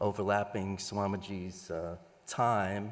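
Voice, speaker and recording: With a New York accent, this man speaks in a fairly low pitch. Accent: noticeable local New York area. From US Northeast, Long Island area. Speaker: event moderator. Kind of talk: formal introduction.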